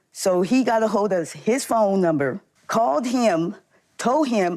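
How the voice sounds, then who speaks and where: With an unremarkable speaking voice, a woman talks at a fairly slow pace with lively intonation. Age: 60s. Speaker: court show litigant. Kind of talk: courtroom testimony.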